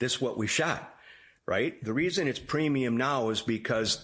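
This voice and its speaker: In a quiet background, a man speaks at a fairly slow pace with ordinary pitch variation. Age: 60s. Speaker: duck hunter and wildlife photographer. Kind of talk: interview.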